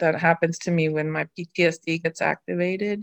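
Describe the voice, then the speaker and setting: Dry and close with no echo, a woman's fairly low voice moves at a fairly slow pace in a flat monotone. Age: 50s. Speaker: guest sharing personal experience. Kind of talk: reflective conversation. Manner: halting.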